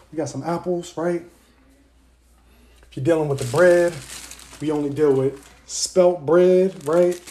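A man is shouting at a high pitch and a fairly slow pace, with big swings in loudness and long, frequent pauses. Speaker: holistic health influencer; diet coach. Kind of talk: casual monologue. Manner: loud, yelling passionately; energetic. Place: kitchen. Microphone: phone near.

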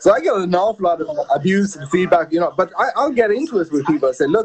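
Very fast speech in an Irish accent with ordinary pitch variation. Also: man. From Ireland. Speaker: sports journalist, former sumo wrestler; interview guest, sports journalist. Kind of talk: interview. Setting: video call. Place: home room. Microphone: video call.

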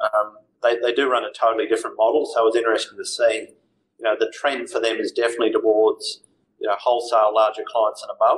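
An Australian-accented man at a very fast pace. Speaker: financial adviser. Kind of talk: interview.

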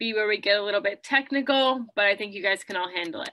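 The background stays quiet. The pace runs fairly quick, and pitch variation is ordinary. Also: woman. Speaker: presenter. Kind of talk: lecture. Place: home room. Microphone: webcam.

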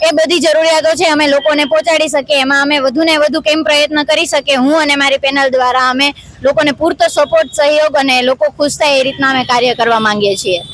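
A woman speaks in a high pitch with ordinary pitch variation and very even loudness. Noticeable background noise sits behind her. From Gujarat, Junagadh. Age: 20s. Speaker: local election candidate. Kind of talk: interview.

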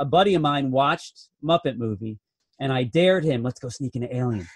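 Somewhat breathy and fairly high in pitch, a man speaks with lively intonation. He moves at a fairly quick pace. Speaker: film review podcast co-host. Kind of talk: casual chat.

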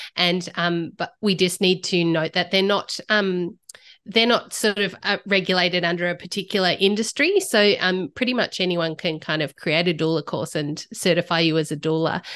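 A woman with a normal speaking voice talks at a moderate pace with fairly even intonation, a fairly low pitch, and hardly any pauses. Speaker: guest. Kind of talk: interview answer. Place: home room. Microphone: studio mic.

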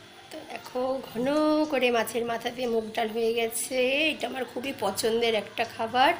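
A woman's fairly even intonation comes through over music in the background. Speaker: home cooking vlogger. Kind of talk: casual vlog chat. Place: kitchen. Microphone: phone near.

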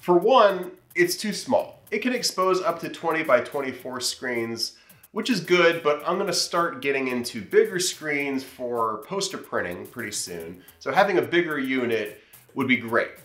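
In a space with audible room echo, a man speaks at a fairly slow pace. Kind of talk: tutorial vlog intro. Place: workshop.

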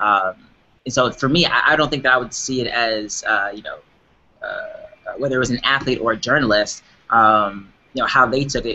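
The speaker is a man. He talks at a fairly quick pace with ordinary pitch variation. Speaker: guest. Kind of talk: interview answer. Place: office. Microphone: webcam.

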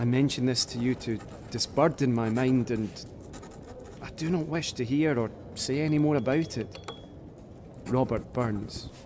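At a moderate pace, a man of medium pitch talks with long, frequent pauses over noticeable background noise. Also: ordinary pitch variation. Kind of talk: period audio drama, reading 18th-century letters aloud in character. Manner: formal, earnest, florid, measured.

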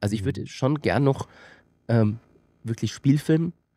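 At a fairly quick pace, a man speaks with ordinary pitch variation and a dark, mellow tone, the sound dry with no echo and the background quiet. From rural Austria. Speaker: filmmaker and company director; guest. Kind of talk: casual interview. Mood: relaxed, reflective. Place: studio. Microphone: studio mic.

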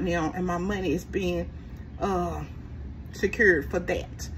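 A woman is speaking. Light background noise is audible. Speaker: budgeting channel host. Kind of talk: casual vlog chat. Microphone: phone near.

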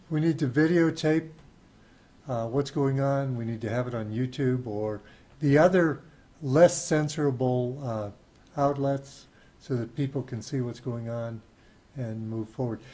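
A somewhat breathy man with a dark, mellow tone, fairly slow in pace, with ordinary pitch variation. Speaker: podcast host. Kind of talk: interview. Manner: halting. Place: home room. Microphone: video call.

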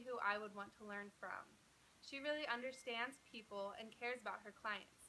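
A woman speaks with an American accent at a moderate pace. Her pitch varies in an ordinary way over light background noise. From Utah (Provo). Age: 20s. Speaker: job applicant. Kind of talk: video job application pitch. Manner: formal. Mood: upbeat, confident, smiling. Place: home room. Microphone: phone near.

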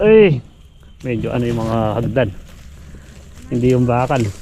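Talking fairly slowly, a man is heard through audible room echo and noticeable background noise. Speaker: farmer vlogger. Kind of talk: casual vlog narration. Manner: rambling, filler-heavy.

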